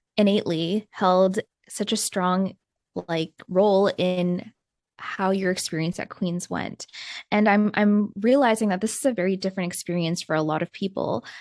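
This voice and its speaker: A plain, everyday voice from a woman, medium in pitch and moderate in pace, with fairly even intonation, a dry, close sound with no echo and a quiet background. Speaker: podcast host. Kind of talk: scripted intro and interview.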